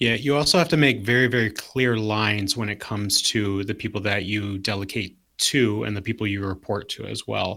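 A man's fairly low, bright and sharp voice with an American accent at a fairly quick pace, on a very clean recording with a silent background. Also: ordinary pitch variation. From Southwest Detroit. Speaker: athletic trainer, leadership speaker. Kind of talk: casual panel discussion.

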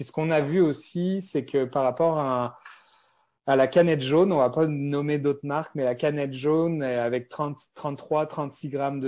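Against a quiet background, a man with a dark, mellow tone and fairly high pitch speaks at a fairly slow pace with fairly even intonation. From France. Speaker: beverage company founder. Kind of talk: interview. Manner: hesitant, many fillers.

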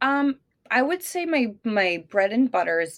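Very wide pitch swings mark speech delivered at a moderate pace. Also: woman. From Italy, moved to the US at age 8. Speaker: real estate agent. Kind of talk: interview.

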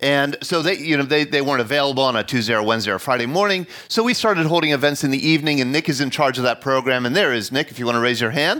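A man is speaking. His tone is bright and sharp. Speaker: host of veterans storytelling events, history teacher. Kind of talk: live storytelling event hosting. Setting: live event with audience at senior center.

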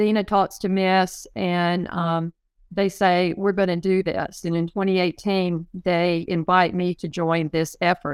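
In a normal speaking voice, a woman talks at a fairly slow pace with a medium pitch, the sound dry and close with no echo. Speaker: West Point graduate and former player. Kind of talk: casual interview chat.

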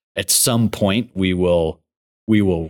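Very slow speech from a man with an American accent and a very deep, low pitch, dry and close with no echo, on a very clean recording with a silent background. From Montana, Billings. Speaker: engineering firm executive. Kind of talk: interview.

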